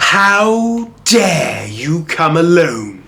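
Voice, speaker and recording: A put-on character voice pitched in the middle range. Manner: menacing, angry.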